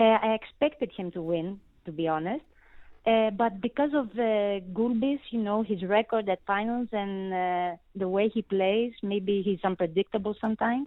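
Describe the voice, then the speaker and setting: Woman with a Greek accent, medium pitch, moderate pace and ordinary pitch variation. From Greece. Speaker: tennis journalist. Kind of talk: interview. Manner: halting, many filler words.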